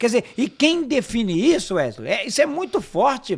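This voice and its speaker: A man with an extremely high pitch speaks with lively intonation in a very clean recording with a silent background. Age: 60s. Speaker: pastor and politician. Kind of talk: podcast interview.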